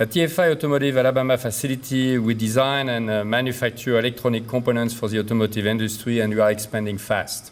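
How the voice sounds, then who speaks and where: At a very fast pace, a man of medium pitch speaks in a French accent with fairly even intonation. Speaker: company executive. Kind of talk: prepared speech. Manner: hesitant with many fillers.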